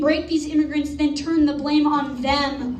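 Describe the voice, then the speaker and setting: The talking moves at a moderate pace over noticeable background noise. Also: woman. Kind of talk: slam poetry performance.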